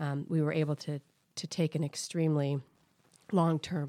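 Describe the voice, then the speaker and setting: In a very clean recording with a silent background and a dry, close sound with no echo, a woman with an American accent speaks in a very deep, low pitch, a dark, mellow tone and monotone, flat intonation. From Minnesota, US Midwest. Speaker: private equity investor. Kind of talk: interview.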